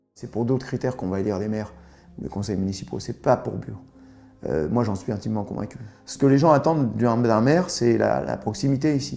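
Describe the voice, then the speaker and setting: A man speaks at a fairly quick pace with lively intonation. His tone is dark and mellow, with vocal fry. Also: medium pitch for a man. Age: 60s. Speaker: local anti-nuclear activist. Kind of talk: interview.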